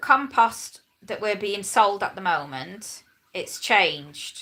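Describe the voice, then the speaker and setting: A woman's bright, sharp voice at a medium pitch and a very slow pace, with vocal fry, lively intonation and big swings in loudness. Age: 40s. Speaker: lifestyle vlogger. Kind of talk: casual live stream chat. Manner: chatty, rambling with hesitations.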